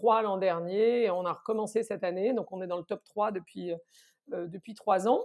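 This is a woman with a normal speaking voice. She keeps a moderate pace with ordinary pitch variation. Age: 50s. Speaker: consultancy founder. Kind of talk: interview.

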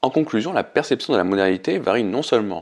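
With an unremarkable speaking voice, a man talks at a fairly quick pace, his fairly low pitch carrying lively intonation. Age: 30s. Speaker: podcast host. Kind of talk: solo podcast monologue. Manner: reads prepared text.

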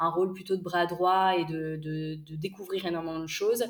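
Her intonation is monotone and flat. This woman speaks at a moderate pace with a fairly low pitch. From northern France, Lille. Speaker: entrepreneur, micro-nursery co-founder. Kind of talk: interview. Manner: hesitant, many fillers.

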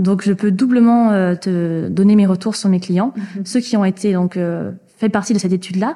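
A woman's somewhat breathy, dark, mellow medium-pitched voice at a moderate pace, with fairly even intonation. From French Basque Country. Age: 20s. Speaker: entrepreneur. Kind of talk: interview.

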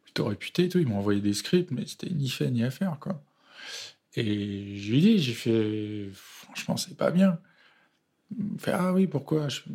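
Very wide pitch swings mark this man's very slow delivery, which is broken by long, frequent pauses. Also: medium pitch for a man. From France, Seine-Saint-Denis (Paris suburbs). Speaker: film director. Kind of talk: interview. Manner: halting.

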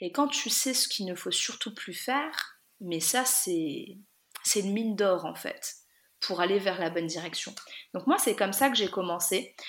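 A woman with an unremarkable speaking voice talks at a fairly slow pace, her medium pitch carried by lively intonation. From France, Lorraine (Guénange). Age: 30s. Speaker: vintage clothing entrepreneur. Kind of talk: interview.

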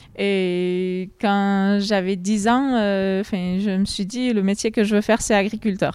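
Very slowly, a woman speaks. Her pitch sits in the medium range. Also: hardly any pauses. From southwestern France, Lot (Bouriane). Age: 20s. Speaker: farm worker. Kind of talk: interview. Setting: on a farm, tobacco barn. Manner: hesitant, many fillers.

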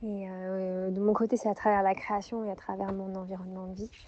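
Fairly slow speech from a woman, with little background noise. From southern France, Montpellier. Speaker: textile artist and yoga teacher. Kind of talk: recorded personal story (voice memo). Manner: hesitant, many fillers.

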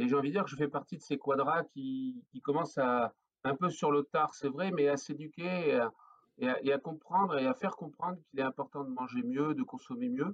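Moderate pace and ordinary pitch variation from a man with a fairly high voice. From northern France (Flanders). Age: 40s. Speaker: craft brewer, entrepreneur. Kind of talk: podcast interview. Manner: hesitant, many fillers and repetitions.

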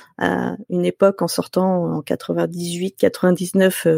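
In a dry, close sound with no echo, a woman is speaking. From Paris region, France. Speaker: software developer. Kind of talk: casual interview.

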